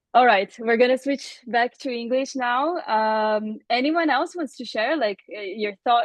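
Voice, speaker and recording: With a Portuguese accent, a woman speaks at a moderate pace in a fairly high pitch with ordinary pitch variation. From Brazil. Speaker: Q&A host. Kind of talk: live Q&A moderation.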